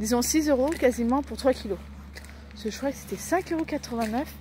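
Very slowly, a woman speaks in a dry recording with no echo and light background noise. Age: 30s. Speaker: vlogger. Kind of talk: casual daily vlog. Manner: halting, many fillers. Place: street. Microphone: phone near.

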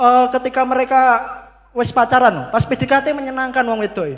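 An animated man at an extremely high pitch, at a moderate pace, against a quiet background. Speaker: stand-up comedian (competitor). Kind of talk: stand-up comedy. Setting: stage with audience. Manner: animated, storytelling. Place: stage. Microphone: handheld.

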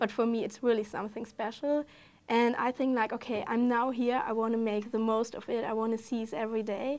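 With a German accent, a woman speaks at a fairly quick pace in a fairly high pitch. Her intonation is monotone and flat. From Germany. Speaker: exchange student. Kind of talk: casual interview. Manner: halting, hesitant with fillers. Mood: warm, enthusiastic. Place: studio. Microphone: lapel.

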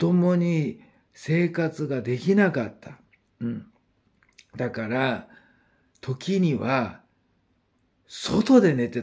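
In a quiet background, a man talks at a very slow pace with long, frequent pauses. His intonation is lively. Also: big swings in loudness. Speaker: YouTuber announcing spiritual guest talks. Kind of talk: casual monologue. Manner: quieter than usual, family asleep; hesitant, many fillers. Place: home room. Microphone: phone near.

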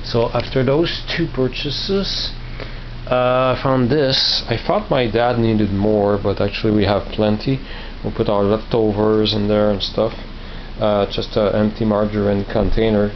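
A man with a plain, everyday voice speaks at a fairly low pitch with fairly even intonation. His loudness stays very even over light background noise. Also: fairly slow pace. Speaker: vlogger showing flea market finds. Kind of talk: casual vlog chat. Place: home room. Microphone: phone near.

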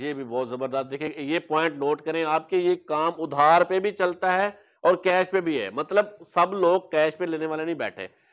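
A man speaks at a fairly high pitch with a fairly bright tone. He keeps a moderate pace with few pauses. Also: ordinary pitch variation.

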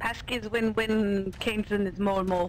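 A put-on character voice sits at a fairly high pitch and moves in a sing-song way at a moderate pace. Background noise is noticeable. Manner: silly, playful sing-song put-on voice.

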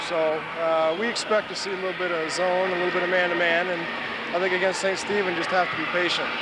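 Someone speaks at a fairly quick pace in a dry sound with no echo, against loud background noise. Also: man. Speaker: basketball coach. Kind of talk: interview answer. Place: stadium. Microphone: handheld.

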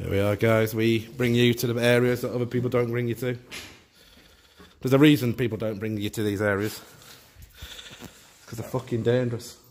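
Over light background noise, a man speaks fairly quickly in a flat, monotone delivery. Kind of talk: casual vlog commentary. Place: empty room. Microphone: phone near.

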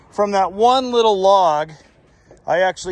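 A man with a high pitch and ordinary pitch variation talks at a fairly slow pace, the sound dry with no echo and noticeable background noise behind him. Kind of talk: casual vlog chat. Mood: pleased, relaxed. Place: garden. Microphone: phone near.

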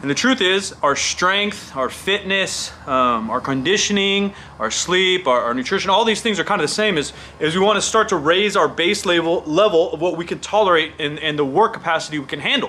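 A man with lively intonation at a fairly quick pace, with hardly any pauses. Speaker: fitness coach vlogger. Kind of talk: casual vlog commentary. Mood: opinionated, emphatic. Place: studio.

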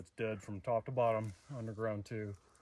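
Fairly even intonation comes through in a dry sound with no echo. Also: man. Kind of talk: interview answer. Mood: calm, matter-of-fact. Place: forest.

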